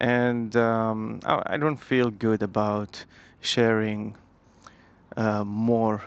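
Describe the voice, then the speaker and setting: Monotone, flat intonation from a man with a Saudi accent. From Saudi Arabia, Medina. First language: Arabic. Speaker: English teacher. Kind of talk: casual motovlog talk. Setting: riding a motorbike. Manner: halting, many fillers and restarts.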